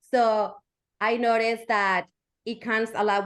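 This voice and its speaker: A woman speaks with a Spanish accent at a fairly high pitch against a quiet background. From Mexico. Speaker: educator. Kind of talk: interview.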